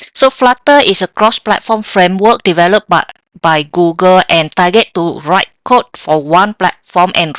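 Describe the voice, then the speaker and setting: A woman speaks with a slight Vietnamese accent and ordinary pitch variation. The sound is dry and close, with no echo. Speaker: software developer. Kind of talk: tech talk with live demo. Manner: hesitant, many fillers.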